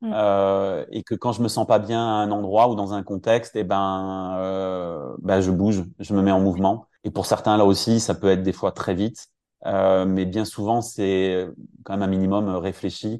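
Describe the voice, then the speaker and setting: Fairly low male voice, dark and mellow, with flat, monotone intonation at a fairly slow pace over a quiet background. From France, Brittany (Finistère). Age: 40s. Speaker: career coach. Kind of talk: interview. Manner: halting, many hesitations.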